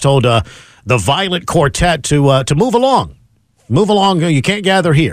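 A man with a normal speaking voice and an American accent, fairly high-pitched, with lively intonation at a moderate pace. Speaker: radio host. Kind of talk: talk radio banter and news commentary. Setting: radio studio.

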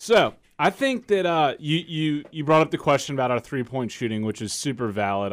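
A man has a normal speaking voice with ordinary pitch variation and a fairly quick pace. The recording is very clean, with a silent background. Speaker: podcast co-host. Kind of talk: casual sports chat.

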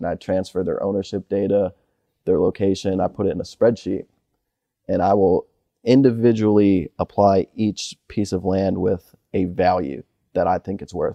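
In an American accent, a man with a plain, everyday voice speaks at a moderate pace and fairly even intonation. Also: fairly low pitch for a man. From Michigan. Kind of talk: casual interview. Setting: barn on a farm.

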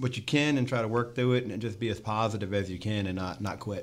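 Fairly low in pitch with ordinary pitch variation, a man speaks in a plain, everyday voice. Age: 40s. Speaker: race spotter. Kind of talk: casual chat. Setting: studio.

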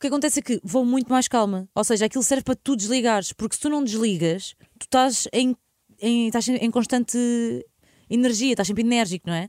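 Talking very fast yet with long, frequent pauses, a woman has a fairly high pitch and ordinary pitch variation. The sound is dry and close, with no echo. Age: 30s. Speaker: radio host. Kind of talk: casual chat.

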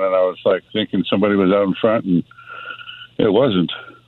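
A man with a fairly low voice talks as noticeable background noise carries on. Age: 60s. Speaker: caller. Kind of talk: phone-in testimony.

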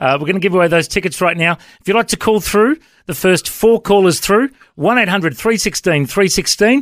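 A high-pitched man with an Australian accent and ordinary pitch variation, dry and close with no echo. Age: 40s. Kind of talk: radio interview.

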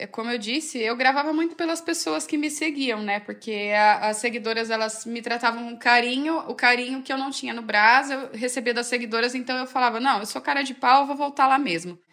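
A woman speaks at a moderate pace with hardly any pauses, her high voice bright and sharp in tone. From Brazil, Campinas (São Paulo state). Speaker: fashion influencer. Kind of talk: interview.

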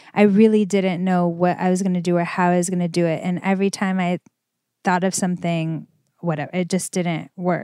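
A woman speaks in a dark, mellow tone at a fairly quick pace. Her intonation is monotone and flat, and the recording is very clean with a silent background. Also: fairly low pitch for a woman. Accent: American. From Los Angeles, California. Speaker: fashion designer and entrepreneur. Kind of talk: interview.

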